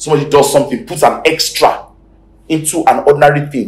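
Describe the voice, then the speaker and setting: Animated and at a very fast pace, a man speaks with ordinary pitch variation. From Nigeria. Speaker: pastor. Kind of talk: sermon. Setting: church. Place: church. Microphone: lapel.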